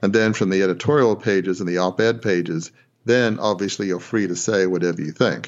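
A man's very deep, low voice at a fairly quick pace, with fairly even intonation. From Australia. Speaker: former newspaper proprietor. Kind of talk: interview. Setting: phone call. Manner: halting.

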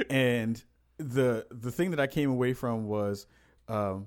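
Here is a plain, everyday voice: a man at medium pitch with ordinary pitch variation. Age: 30s. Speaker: podcast host. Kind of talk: casual chat.

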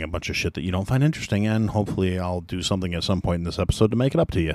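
The recording is very clean, with a silent background. The speech moves at a very fast pace. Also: man. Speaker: podcast host. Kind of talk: solo monologue podcast. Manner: casual, profane.

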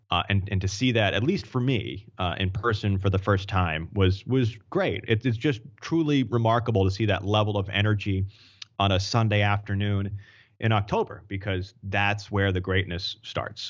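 A man with an American accent uses a normal speaking voice, fairly low in pitch, at a moderate pace. His intonation is fairly even and his loudness very even. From Maine, US. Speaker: sports play-by-play broadcaster. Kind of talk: casual sports talk interview.

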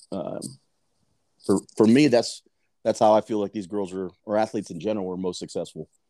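With a Texan accent, a man speaks at a fairly low pitch in a dark, mellow tone, keeping a fairly quick pace broken by long, frequent pauses and showing ordinary pitch variation. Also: dry, close sound with no echo. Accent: Texan American English. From Texas, south side of San Antonio. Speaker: youth softball coach. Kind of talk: casual chat.

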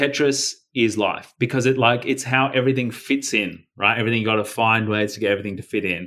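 A man with an Australian accent, medium in pitch, very fast, with a bright, sharp tone, fairly even intonation, hardly any pauses and very even loudness. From Australia, Melbourne suburbs. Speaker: anti-violence campaigner and author. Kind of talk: casual interview conversation.

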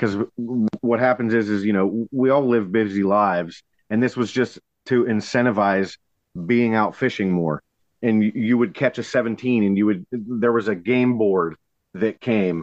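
A man with an American accent has an unremarkable speaking voice and a fairly low pitch. He talks at a fairly slow pace with fairly even intonation and very even loudness. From Pennsylvania, Allegheny River area. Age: 30s. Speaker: kayak fishing tournament director. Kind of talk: casual chat.

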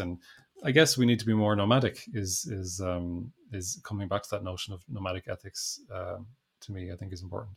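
On a very clean recording with a silent background, a man with an Irish accent speaks at a moderate pace in a fairly low, somewhat breathy voice. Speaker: education researcher and author. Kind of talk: interview. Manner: halting, frequent fillers and restarts.

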